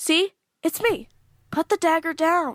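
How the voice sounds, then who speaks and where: In a put-on character voice, a woman pitches her speech extremely high. She delivers it at a fairly slow pace. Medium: audio drama. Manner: snarky, casual.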